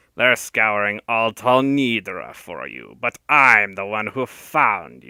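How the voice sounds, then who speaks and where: A man's put-on character voice, raspy and hissing, with a medium pitch, fairly slow pace, and hardly any pauses. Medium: read story. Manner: oily, sinuous, scornful.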